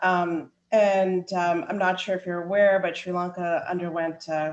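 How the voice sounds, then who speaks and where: A woman with a Canadian accent and a plain, everyday voice, fairly low in pitch, at a moderate pace with fairly even intonation. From Canada, Ottawa. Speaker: tech company CEO. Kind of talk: panel discussion.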